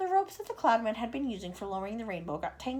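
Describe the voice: A plain read-aloud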